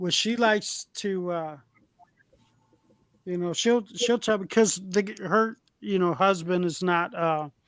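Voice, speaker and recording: Loud and high-pitched, a man talks at a fairly slow pace with ordinary pitch variation and long, frequent pauses. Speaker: electrician and former manager. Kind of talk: casual chat.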